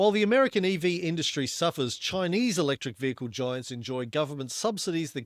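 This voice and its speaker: At a fairly quick pace, a man talks with an Australian accent. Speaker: podcast host. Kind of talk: casual chat about investing. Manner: reading news articles aloud.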